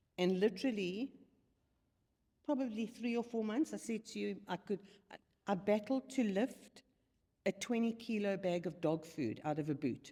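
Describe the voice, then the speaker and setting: Using lively intonation and long, frequent pauses, a woman speaks at a medium pitch in a dark, mellow tone. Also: moderate pace. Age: 60s. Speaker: retired fitness client. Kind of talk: casual chat.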